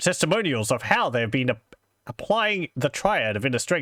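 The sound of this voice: The voice is an unforced reading voice. The background is quiet.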